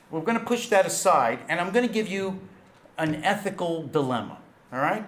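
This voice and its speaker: A man with a New York accent amid noticeable background noise and audible room echo. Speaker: intelligence studies scholar. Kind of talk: conference lecture. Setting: auditorium with audience.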